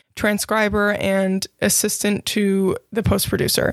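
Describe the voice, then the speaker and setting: A woman with a plain, everyday voice speaks at a moderate pace and a medium pitch. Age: 20s. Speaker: freelancer and podcast host. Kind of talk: casual solo podcast monologue.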